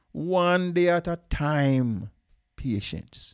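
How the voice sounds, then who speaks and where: A man's high-pitched voice with a Jamaican accent and lively intonation, on a very clean recording with a silent background. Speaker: father of the host. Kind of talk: casual chat.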